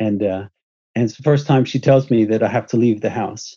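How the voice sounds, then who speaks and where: Dark and mellow in tone, a man speaks at a fairly low pitch with fairly even intonation. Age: 50s. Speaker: alienated parent. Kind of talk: interview testimony. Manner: halting.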